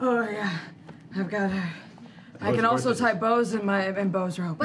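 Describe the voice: A strained, put-on character voice speaks at a moderate pace with ordinary pitch variation over clear background noise. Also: woman, medium pitch for a woman.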